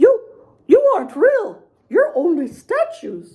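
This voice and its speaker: In an assumed character voice, this woman sounds squeaky, her extremely high pitch leaping across a very wide range. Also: fairly slow pace. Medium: read story.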